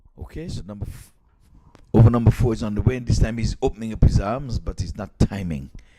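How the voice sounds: This man's voice has a dark, mellow tone. He speaks at a fairly quick pace.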